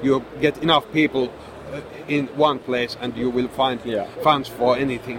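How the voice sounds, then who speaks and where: Against noticeable background noise, a man with a Finnish accent talks at a moderate pace with fairly even intonation. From Finland. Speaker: game designer and publisher. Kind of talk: convention interview. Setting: convention booth. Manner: hesitant, frequent repetitions.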